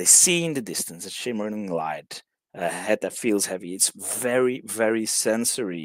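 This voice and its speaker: With lively intonation, a man speaks at a moderate pace in a fairly low pitch. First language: Dutch. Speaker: songwriting workshop leader. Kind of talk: online workshop lecture. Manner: halting, many fillers and restarts.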